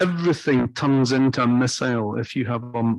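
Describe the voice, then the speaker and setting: Speaking at a moderate pace, a man talks with a Scottish accent. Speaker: off-road driving instructor. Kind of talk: training lecture.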